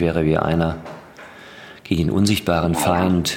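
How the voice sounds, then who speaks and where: Audible room echo surrounds a man whose very deep, low voice keeps fairly even intonation. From Ruhr area, Germany. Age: young. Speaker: podcast host. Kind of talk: casual interview. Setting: studio.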